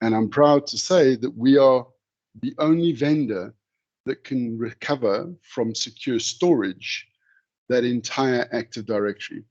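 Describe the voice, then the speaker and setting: A man speaks at a fairly slow pace in a medium pitch, with ordinary pitch variation. He has a normal speaking voice, and the sound is dry and close with no echo. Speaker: software vendor presenter. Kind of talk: webinar product demo.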